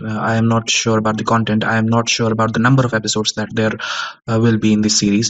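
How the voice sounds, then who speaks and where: A man talks at a very fast pace with a medium pitch. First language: Kashmiri. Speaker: podcaster / audio journal keeper. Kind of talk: unscripted monologue. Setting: recorded at home on a sound recorder at 3 am. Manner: halting, many fillers.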